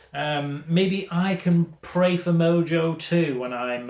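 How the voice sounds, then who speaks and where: A man speaks with a Manchester accent. His intonation is lively. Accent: Manchester northern. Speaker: retro games YouTuber. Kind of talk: casual haul vlog chat. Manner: animated.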